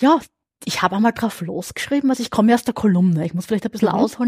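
A woman speaks in a fairly high, somewhat breathy voice with lively intonation. The sound is dry and close, with no echo. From southern Burgenland, Austria. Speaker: crime novelist. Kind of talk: casual interview. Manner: fast, talkative.

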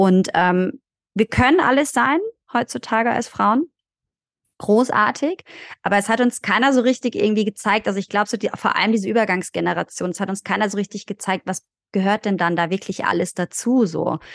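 At a fairly quick pace, a woman speaks in an ordinary speaking voice at medium pitch with ordinary pitch variation, in a dry, close sound with no echo and a quiet background. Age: 30s. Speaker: doula. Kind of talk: casual chat.

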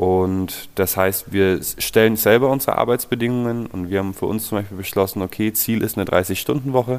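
At a moderate pace, a man with an unremarkable speaking voice talks in a fairly low pitch with fairly even intonation. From Nuremberg, Franconia (Bavaria). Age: 20s. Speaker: plumber and heating installer, co-founder of a collective business. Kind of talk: interview.

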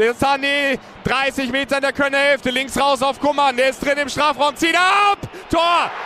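A man's raised, projected voice, extremely high in pitch, at a fairly slow pace, with noticeable background noise. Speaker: radio football commentator. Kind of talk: live commentary. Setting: stadium. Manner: animated.

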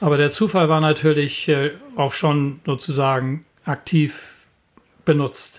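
A man talks at a very slow pace in a fairly high pitch. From northern Germany, Lüneburg Heath. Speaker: climate scientist. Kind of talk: interview.

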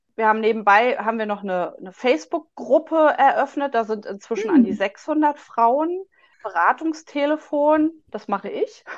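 This woman has a high voice and talks at a moderate pace. Her pitch swings very widely, and her loudness shifts a great deal. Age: 40s. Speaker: patient advocate, social worker. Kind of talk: interview. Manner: halting, many fillers.

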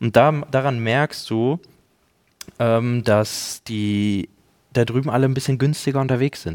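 Speaking at a very slow pace, a man leaves long, frequent pauses. His pitch is medium and his intonation fairly even. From Germany. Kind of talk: casual chat.

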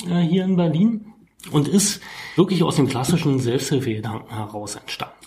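A man at a fairly high pitch and a moderate pace, with very wide pitch swings and noticeable background noise. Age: 40s. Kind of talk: interview.

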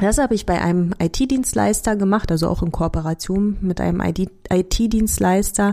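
Speaking with a slight Berlin accent, a woman keeps a moderate pace, medium pitch and very even loudness, her dark, mellow tone showing ordinary pitch variation and hardly any pauses. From Hungary and Berlin area. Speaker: team coach and podcast host. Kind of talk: scripted monologue.

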